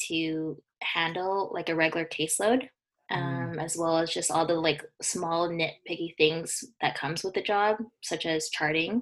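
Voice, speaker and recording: A woman with a Canadian accent has an ordinary speaking voice at a fairly low pitch. She talks at a moderate pace with ordinary pitch variation. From British Columbia, Canada. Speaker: physiotherapy student. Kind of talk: casual chat.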